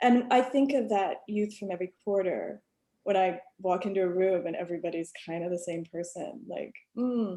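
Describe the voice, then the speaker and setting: A woman with an American accent talks at a moderate pace in a medium pitch. Her tone is dark and mellow, with ordinary pitch variation. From rural US South. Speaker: alumna. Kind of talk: panel discussion. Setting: video call. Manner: casual, many fillers.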